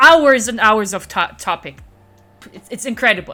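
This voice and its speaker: Speaking at a fairly quick pace with a non-native accent, a woman with a fairly high pitch has a bright, sharp and animated tone. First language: not English. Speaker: streamer. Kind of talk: live stream chat. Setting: live stream.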